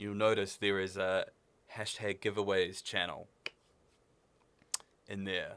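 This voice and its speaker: With a New Zealand accent, a man speaks at a fairly slow pace and fairly low pitch in a monotone, flat intonation, leaving long, frequent pauses. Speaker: livestream gamer and shop staff. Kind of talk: live stream chat. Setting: studio. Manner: casual, halting.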